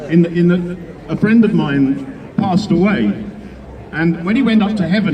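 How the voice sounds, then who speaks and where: High-pitched man at a moderate pace, with audible room echo and noticeable background noise. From Wales. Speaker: event compere at political rally. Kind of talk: speech to rally audience with joke.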